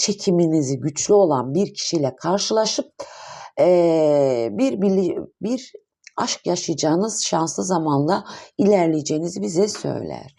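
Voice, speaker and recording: A woman with a dark, mellow tone and a fairly low pitch speaks at a fairly slow pace, her pitch swinging very widely, over a quiet background. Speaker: tarot reader. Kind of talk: tarot reading monologue. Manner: hesitant, many fillers.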